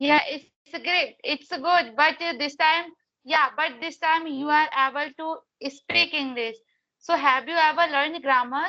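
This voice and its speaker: A woman's raised, projected voice, high-pitched with a bright, sharp tone, fairly slow with ordinary pitch variation, against a quiet background. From India, Madhya Pradesh. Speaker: English learner, conversation partner. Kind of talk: English practice conversation.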